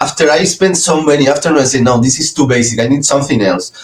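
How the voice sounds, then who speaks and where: Over music in the background, a man speaks very fast at a medium pitch. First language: not English. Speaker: small business owner. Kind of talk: business video call. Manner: hesitant, many fillers.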